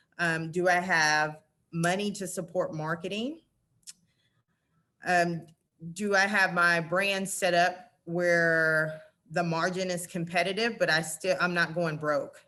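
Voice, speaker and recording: A woman with a Southern US accent speaks at a fairly low pitch in a bright, sharp tone, with monotone, flat intonation. Her pace is very slow, broken by long, frequent pauses. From Arkansas. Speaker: retail merchandising director. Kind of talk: presentation and Q&A. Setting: virtual summit.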